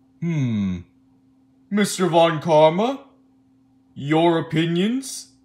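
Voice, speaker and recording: A put-on character voice at a middle pitch moves at a very slow pace with long, frequent pauses. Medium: audio drama. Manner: slow, deliberating.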